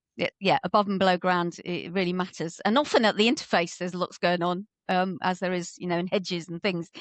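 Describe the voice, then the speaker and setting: A woman with an ordinary speaking voice talks at a fairly quick pace with hardly any pauses. Her medium pitch holds fairly even intonation, and the sound is dry and close with no echo. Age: 50s. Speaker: ecologist. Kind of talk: casual chat.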